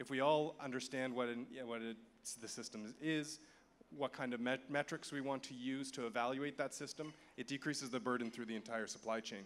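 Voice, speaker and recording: In a Canadian accent, a man uses an ordinary speaking voice at a medium pitch, with fairly even intonation and a fairly quick pace. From Canada. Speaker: conference speaker for an agriculture nonprofit. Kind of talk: conference presentation.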